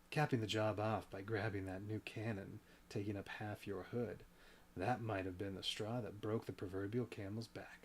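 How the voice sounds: Fairly even intonation in a natural reading voice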